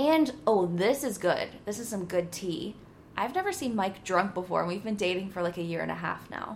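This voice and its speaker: Lively intonation from a woman, medium in pitch, at a moderate tempo. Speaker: podcast host. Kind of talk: casual chat. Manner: loud; animated.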